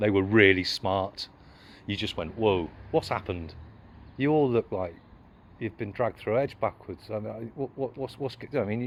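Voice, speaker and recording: A man's fairly low voice with an English accent, at a moderate pace, with ordinary pitch variation and long, frequent pauses. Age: 60s. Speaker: street auditor. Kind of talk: confrontational exchange.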